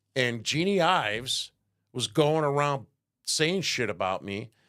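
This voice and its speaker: A man's medium-pitched voice with a Chicago accent, vocal fry and very wide pitch swings, in a very clean recording with a silent background. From Chicago South Side, US Midwest. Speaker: political talk show host. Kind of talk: casual political rant. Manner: animated.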